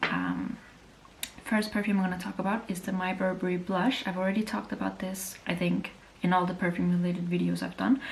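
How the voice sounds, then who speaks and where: At a fairly quick pace, a woman speaks at a medium pitch with fairly even intonation over noticeable background noise. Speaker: beauty youtuber. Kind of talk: casual review monologue. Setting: at home. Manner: fast.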